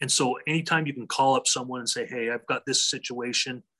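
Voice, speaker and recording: A man with an American accent talks fairly quickly at medium pitch with a bright, sharp tone. His intonation is fairly even, and the sound is dry and close with no echo. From Utah, US (Draper). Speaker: high school athletic director. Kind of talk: interview. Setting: podcast interview. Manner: halting.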